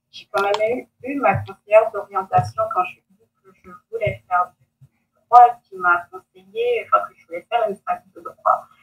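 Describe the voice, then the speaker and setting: A woman talks with very wide pitch swings and big swings in loudness. The sound is dry and close with no echo, and music plays in the background. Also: medium pitch for a woman, moderate pace. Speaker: lawyer. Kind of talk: interview. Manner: halting, many hesitations.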